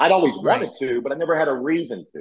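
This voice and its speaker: A man with a Southern US accent talks at a fairly quick pace, his intonation lively. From US South. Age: 40s. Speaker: former pro wrestler and YouTuber. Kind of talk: casual interview chat.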